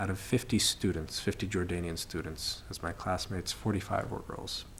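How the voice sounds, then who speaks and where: A man with an American accent talks at a moderate pace in a very deep, low pitch. His voice is somewhat breathy, with lively intonation. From United States. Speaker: study abroad student. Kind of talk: testimony.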